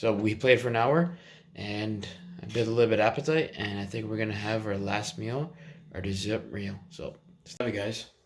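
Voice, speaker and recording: A man with a plain, everyday voice speaks at a moderate pace and fairly low pitch, with ordinary pitch variation and big swings in loudness. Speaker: fitness vlogger. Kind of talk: casual vlog.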